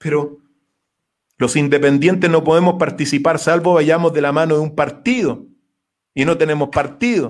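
A man speaks at a moderate pace in a fairly high pitch, with ordinary pitch variation. His pauses are long and frequent, over a quiet background. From Chile. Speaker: philosophy lecturer and political hopeful; philosophy lecturer. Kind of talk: radio interview. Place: home room. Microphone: webcam.

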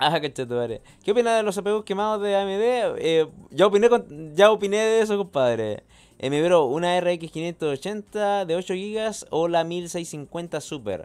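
A man with a Chilean accent speaks in a high pitch. His pace is fairly slow and his intonation lively. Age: 30s. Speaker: tech streamer. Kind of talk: live stream chat. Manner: animated. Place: home room. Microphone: studio mic.

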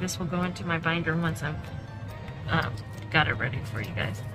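Over clear background music, a woman talks at a moderate pace in a very deep, low voice. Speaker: budgeting creator. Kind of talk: casual tutorial vlog chat.

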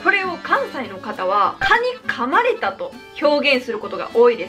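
A woman with a Kansai accent projects her raised voice through very wide pitch swings. Music plays clearly in the background. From Kansai, Japan. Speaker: YouTuber. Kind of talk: casual talk to camera. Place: home room.

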